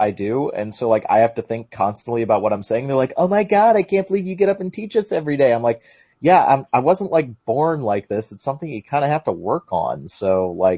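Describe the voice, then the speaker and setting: Animated and fairly quick, a man speaks with hardly any pauses and very wide pitch swings. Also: fairly high pitch for a man. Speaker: podcast host. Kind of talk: casual chat.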